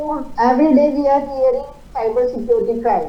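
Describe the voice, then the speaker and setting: Lively intonation from a woman at a moderate pace, with audible room echo. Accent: Indian. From India. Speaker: invited speaker, expert panelist. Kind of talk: panel address. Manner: hesitant, with frequent uh fillers.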